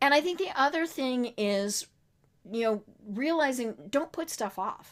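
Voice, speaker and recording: With an American accent, a woman speaks fairly slowly at a high pitch with lively intonation. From Colorado, US. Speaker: cancer survivor. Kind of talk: interview testimony. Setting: podcast interview. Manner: halting, many fillers.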